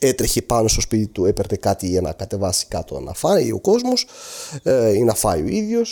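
A man speaks with an Arabic accent. His pace is moderate. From Syria, Aleppo. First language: Arabic (speaking Greek). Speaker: earthquake eyewitness. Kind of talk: testimony. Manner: halting.

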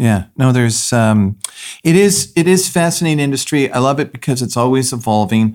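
An unremarkable speaking voice from a man with a Canadian accent, medium pitch, lively intonation and a fairly quick pace on a very clean recording with a silent background. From Canada. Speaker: podcast host, real estate investor. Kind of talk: casual interview.

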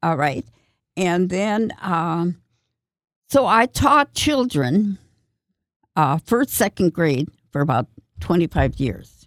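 A woman's fairly low voice with an American accent, very slow with long, frequent pauses and very wide pitch swings, in a dry, close sound with no echo. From Minnesota, Minneapolis suburbs. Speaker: retired nun. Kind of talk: radio interview. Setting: radio studio.

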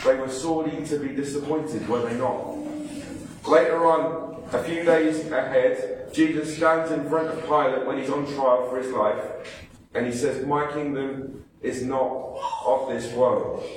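Fairly slow, fairly high male speech amid noticeable background noise and audible room echo. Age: 30s. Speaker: pastor. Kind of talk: sermon. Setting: church. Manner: animated.

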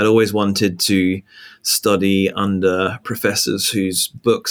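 A fairly low-pitched man with an English accent and monotone, flat intonation, on a very clean recording with a silent background. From England. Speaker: pastor. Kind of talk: interview conversation. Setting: call. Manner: conversational.

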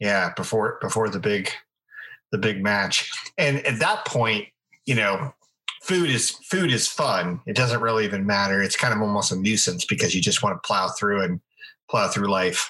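A man with an unremarkable speaking voice talks at a moderate pace, fairly low in pitch with ordinary pitch variation. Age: 40s. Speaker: podcast co-host. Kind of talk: casual chat.

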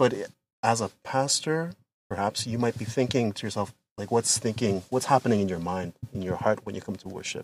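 A man with a Canadian accent and a normal speaking voice, medium pitch, ordinary pitch variation, a fairly quick pace, and dry, close sound with no echo. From London, Ontario, Canada. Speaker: pastor. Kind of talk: casual chat. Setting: in a car.

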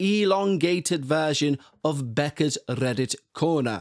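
Recorded very cleanly against a silent background, with a dry, close sound and no echo, a man with a British accent speaks very slowly at a fairly high pitch with ordinary pitch variation. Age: 40s. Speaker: podcast host. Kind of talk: casual chat. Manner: animated.

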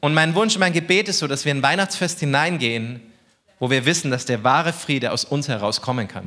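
A man speaks with lively intonation at a moderate pace. His tone is animated and warm, yet also bright and sharp. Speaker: preacher. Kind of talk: sermon. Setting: church with congregation. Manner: animated, warm and conversational, cracking jokes, earnest at key points; informal, direct address.

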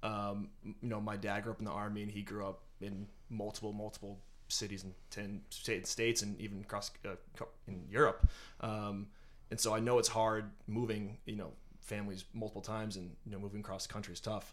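Monotone, flat intonation at a fairly quick pace. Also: man, fairly low pitch for a man. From eastern Massachusetts. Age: 20s. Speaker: finance and HR worker. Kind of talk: casual interview.

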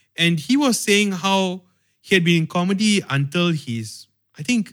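The speaker is a man with a Malaysian accent. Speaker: podcast host. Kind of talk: casual chat.

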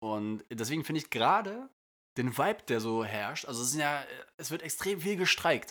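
A man speaks at a moderate pace with a fairly high pitch, very wide pitch swings and a bright, sharp tone. The recording is very clean, with a silent background. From northern Germany. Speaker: podcast co-host, airline pilot. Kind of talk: casual chat.

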